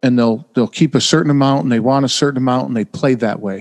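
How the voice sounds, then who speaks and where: An American accent comes through as a man talks at a fairly quick pace. He has an unremarkable speaking voice with ordinary pitch variation. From upstate New York. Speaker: former sales manager and poker player. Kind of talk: casual chat.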